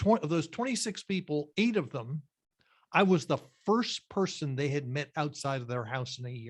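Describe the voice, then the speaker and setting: In a very clean recording with a silent background, a man speaks at a fairly high pitch with lively intonation. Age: 60s. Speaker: career coach presenter. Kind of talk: presentation Q&A. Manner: halting, many fillers and restarts.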